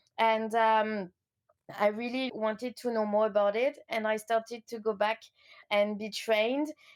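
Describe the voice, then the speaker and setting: A woman with a French accent, fairly high in pitch, flat and monotone, at a moderate pace. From France, Lyon. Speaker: coach. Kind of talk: interview.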